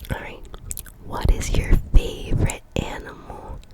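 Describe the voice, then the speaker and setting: The voice whispers over noticeable background noise. Its pace is fairly slow. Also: woman. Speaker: ASMR creator. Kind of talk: whispered ASMR Q&A chat. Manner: whispered, soft-spoken.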